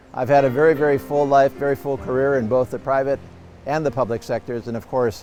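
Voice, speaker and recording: Music plays in the background while a man talks at a very fast pace. His pitch varies in an ordinary way. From Hawaii, Big Island (Hilo). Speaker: politician. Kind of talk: campaign talk to camera. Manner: hesitant, many fillers.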